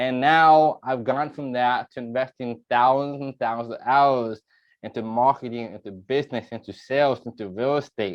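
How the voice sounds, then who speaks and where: His loudness swings widely as a man speaks at a moderate pace and medium pitch. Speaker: real estate coach. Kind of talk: webinar presentation. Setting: video call. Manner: animated.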